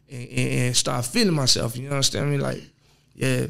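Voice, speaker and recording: A man speaks with an Alabama accent. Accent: Southern US, Alabama. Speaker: rapper. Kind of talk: podcast interview. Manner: halting.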